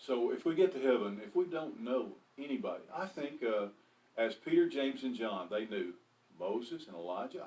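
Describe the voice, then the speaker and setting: A man with a dark, mellow tone and vocal fry talks at a fairly quick pace, his pitch swinging very widely. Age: 60s. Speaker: pastor. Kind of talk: bible study discussion. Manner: halting.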